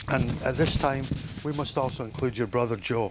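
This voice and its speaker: A man at a moderate pace, with noticeable background noise behind him. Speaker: father of the bride. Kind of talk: wedding toast speech. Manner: halting.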